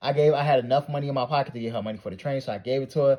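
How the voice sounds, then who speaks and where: At a very fast pace, a man speaks with a dark, mellow tone, a somewhat breathy quality and ordinary pitch variation. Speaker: art YouTuber. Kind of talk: casual storytime monologue.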